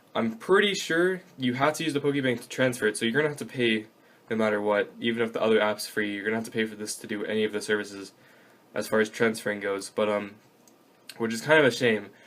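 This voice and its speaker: This voice moves at a very fast pace with ordinary pitch variation. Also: man. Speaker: gaming YouTuber. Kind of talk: tutorial. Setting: kneeling over desk at home. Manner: loud; casual with many fillers.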